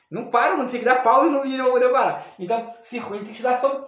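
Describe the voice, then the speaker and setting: Audible room echo surrounds a man whose pitch is extremely high. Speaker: spiritualist teacher. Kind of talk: video lesson. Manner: fast; halting, repetitive stumbles.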